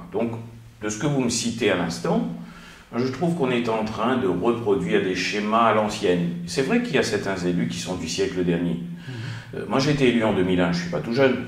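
With audible room echo, a man speaks at a moderate pace in a fairly low pitch and with lively intonation. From Réunion. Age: 50s. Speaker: mayor and politician; mayor, politician. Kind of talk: interview. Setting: studio. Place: office.

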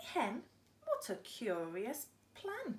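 A woman speaks in an animated way. Her tone is playful. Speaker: storyteller reading to children. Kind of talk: bedtime story reading aloud to young children, with character voices. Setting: video to camera, showing book pictures. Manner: gentle, warm, sing-song storytelling with expressive pauses; animated, playful, engaging children directly. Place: home room. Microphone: phone near.

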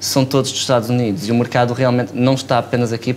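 Fairly quick speech from a man, light background noise behind him. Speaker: startup founder. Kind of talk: casual interview chat. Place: studio. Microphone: lapel.

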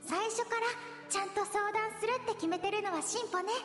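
In a put-on character voice, a female-sounding speaker goes at a fairly quick pace with an extremely high pitch, with clear echo and clear music in the background. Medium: fan dub. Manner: calm, mature, soft.

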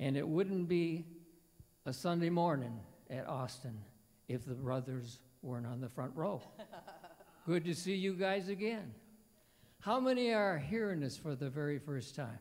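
At a moderate pace, a man speaks with very wide pitch swings and long, frequent pauses. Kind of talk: stage banter between songs. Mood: warm, joking. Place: church. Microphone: handheld.

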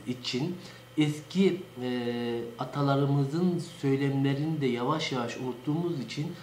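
A man speaks at a fairly slow pace with ordinary pitch variation, audible room echo and light background noise. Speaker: local dialect enthusiast. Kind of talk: informal educational talk. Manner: hesitant, many filler sounds. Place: office. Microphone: webcam.

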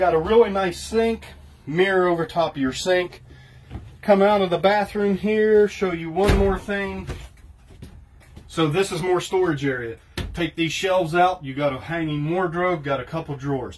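Over noticeable background noise, a man talks at a high pitch. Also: ordinary pitch variation, moderate pace. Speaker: trailer salesman. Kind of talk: product walkthrough tour. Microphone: phone near.

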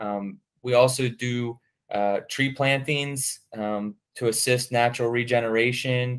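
This is an unremarkable speaking voice. It moves at a fairly slow pace with fairly even intonation. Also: man, medium pitch for a man. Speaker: forester. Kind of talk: casual interview.

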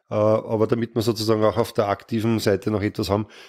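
A man with a fairly low pitch and a dark, mellow tone speaks at a fairly quick pace on a very clean recording with a silent background. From Lower Austria. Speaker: politician. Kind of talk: interview answers.

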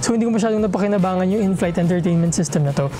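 A man talks with a high pitch and ordinary pitch variation. Light background noise can be heard. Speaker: travel vlogger. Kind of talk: casual review talk to camera. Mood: friendly, upbeat. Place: home room. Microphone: lapel.

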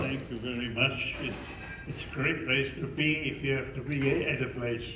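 A man's voice at a moderate pace, with fairly even intonation and noticeable background noise. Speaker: honored centenarian guest. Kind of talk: interview answer. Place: hall. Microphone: handheld.

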